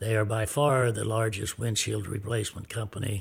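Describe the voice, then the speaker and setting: A man's fairly low, somewhat breathy voice at a moderate pace with fairly even intonation, in a very clean recording with a silent background. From US Midwest, small-town Kansas. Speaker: businessman, club owner. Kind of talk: interview storytelling.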